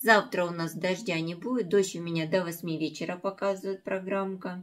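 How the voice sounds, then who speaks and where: A woman's fairly low voice against a quiet background. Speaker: home vlogger. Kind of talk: casual vlog chat. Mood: calm, early-morning chat. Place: kitchen. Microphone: phone near.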